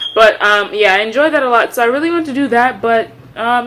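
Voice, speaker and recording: Pitch moves in an ordinary way as this woman talks. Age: 20s. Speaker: medical student and vlogger. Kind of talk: casual vlog chat. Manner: fast.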